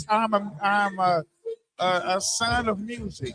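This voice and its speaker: With music in the background, a man speaks in a raised, projected voice. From Arkansas. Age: 40s. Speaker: rapper. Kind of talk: interview. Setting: live stream event. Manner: halting, many repetitions.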